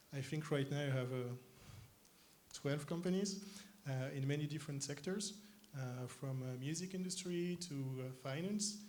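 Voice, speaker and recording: With a French accent, a man talks in a fairly high, somewhat breathy voice at a moderate pace, with ordinary pitch variation, long, frequent pauses and audible room echo. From France, Paris. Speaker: tech company co-founder. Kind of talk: stage interview. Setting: conference stage with audience. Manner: hesitant, many fillers.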